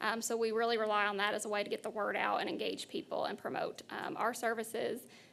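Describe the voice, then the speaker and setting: Her pitch is fairly high for a woman. She talks at a fairly quick pace with lively intonation. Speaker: workforce board executive director. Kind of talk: board meeting presentation. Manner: fast.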